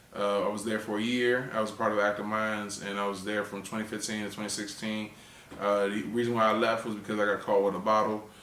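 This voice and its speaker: Over audible room echo, a man with an American accent rattles along at a very fast pace in monotone, flat intonation. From Washington DC area. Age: 30s. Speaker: comedian. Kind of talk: interview. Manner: halting.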